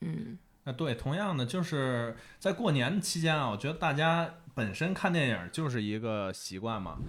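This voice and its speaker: Man with a strong Beijing accent, fairly high in pitch, with very wide pitch swings at a moderate pace. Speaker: film fan, new team member. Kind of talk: casual chat.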